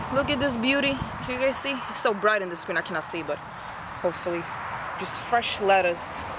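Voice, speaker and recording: The speaker talks at a fairly quick pace. There is loud background noise, but the sound is dry with no echo. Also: woman. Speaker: home gardener vlogger. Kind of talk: casual vlog chat. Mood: cheerful, relaxed. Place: garden. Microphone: phone near.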